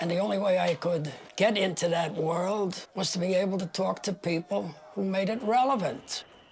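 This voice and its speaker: Noticeable background noise accompanies moderately paced speech whose pitch shifts in a normal way. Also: man, high pitch for a man. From New York City. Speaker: political activist. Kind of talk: documentary interview. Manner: halting.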